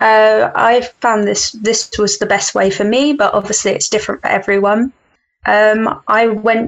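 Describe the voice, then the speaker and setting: Delivered at a fairly slow pace, an unremarkable speaking voice keeps very even loudness and fairly even intonation. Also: woman, fairly high pitch for a woman. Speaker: university student. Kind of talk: casual chat.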